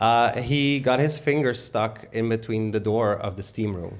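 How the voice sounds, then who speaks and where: With a Dutch accent, a man speaks at a medium pitch. His pitch varies in an ordinary way. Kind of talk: live panel conversation.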